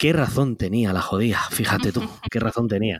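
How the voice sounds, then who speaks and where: A normal speaking voice from a man, fairly low in pitch, with ordinary pitch variation and a moderate pace. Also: dry, close sound with no echo. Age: 30s. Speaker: web entrepreneur. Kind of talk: interview.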